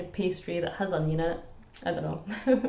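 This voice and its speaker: Her Scottish accent carrying an upbeat tone and lively intonation, a woman speaks with audible room echo. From Scotland. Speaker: language teacher. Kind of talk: educational explainer to camera. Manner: upbeat, chatty. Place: home room. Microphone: phone near.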